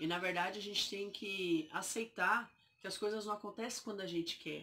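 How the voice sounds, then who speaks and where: A woman's bright, sharp voice at medium pitch, with fairly even intonation and a moderate pace. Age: 20s. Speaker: vlogger sharing health story. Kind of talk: personal testimony. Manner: halting.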